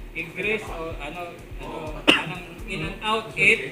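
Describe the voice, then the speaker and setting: A man talks while clear music is heard in the background. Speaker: rescue team trainer. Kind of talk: training briefing.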